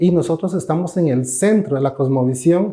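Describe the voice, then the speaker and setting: Speaking in a Costa Rican accent, a man has a dark, mellow tone and a fairly high pitch with ordinary pitch variation. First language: Cabécar (speaking Spanish). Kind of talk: interview.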